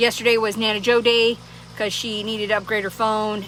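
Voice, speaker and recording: Medium-pitched woman's voice against noticeable background noise. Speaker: vlogger. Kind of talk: casual chat. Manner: loud; rambling, many fillers.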